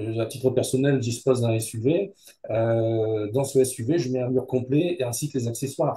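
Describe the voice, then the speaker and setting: Somewhat breathy and with a dark, mellow tone, a man of medium pitch speaks at a moderate pace with ordinary pitch variation. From Hauts-de-France, northern France. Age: 70s. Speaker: business owner. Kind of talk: interview. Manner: hesitant, many fillers.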